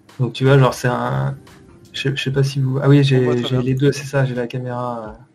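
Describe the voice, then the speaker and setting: This man talks at a fairly slow pace and medium pitch, somewhat breathy, with a monotone, flat intonation. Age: 30s. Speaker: 2D animator. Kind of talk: casual interview. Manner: halting.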